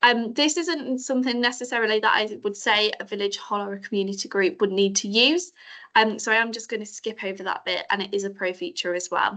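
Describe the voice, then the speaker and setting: Against a quiet background, a woman speaks at a fairly quick pace with lively intonation. Her voice is fairly high in pitch, with a bright, sharp tone. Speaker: marketing staff presenter. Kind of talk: tutorial. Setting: video call. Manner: fast.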